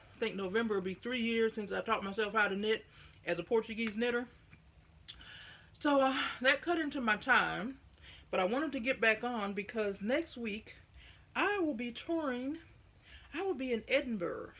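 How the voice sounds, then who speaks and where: A woman at a moderate pace with fairly high pitch, lively intonation, an animated tone and long, frequent pauses. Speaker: knitting vlogger. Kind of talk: casual vlog chat.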